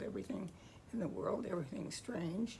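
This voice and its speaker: There is noticeable noise in the background. The speaker is a woman. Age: 80s+. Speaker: freelance editor, coach and author. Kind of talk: casual talk to camera.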